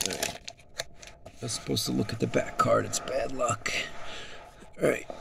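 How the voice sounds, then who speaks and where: A man's voice over noticeable background noise. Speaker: sports card collector. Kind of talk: casual talk to camera, pack opening.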